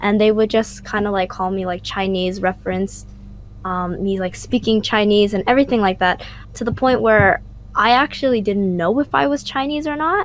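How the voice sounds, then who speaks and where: With an American accent, a woman speaks at a moderate pace in an unremarkable speaking voice of medium pitch with lively intonation. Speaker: student podcast co-host. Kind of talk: casual chat.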